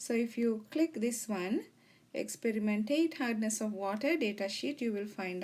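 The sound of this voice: With lively intonation and a slightly mellow tone, a woman talks at a moderate pace in a medium pitch.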